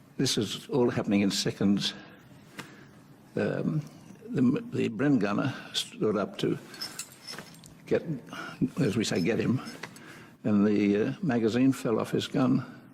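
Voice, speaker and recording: Noticeable background noise sits behind a man who talks at a fairly slow pace with long, frequent pauses and very even loudness. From Australia. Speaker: war veteran. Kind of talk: interview answer. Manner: hesitant.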